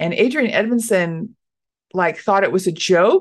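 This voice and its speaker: A woman with an American accent and an unremarkable speaking voice talks at a medium pitch with lively intonation over a quiet background. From Dallas, Texas. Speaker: stand-up comedian. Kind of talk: casual interview chat.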